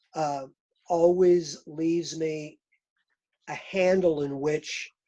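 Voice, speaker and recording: A man with an American accent, fairly high in pitch, fairly even in intonation, with music in the background. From Oklahoma. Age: 70s. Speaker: artist. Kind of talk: casual chat.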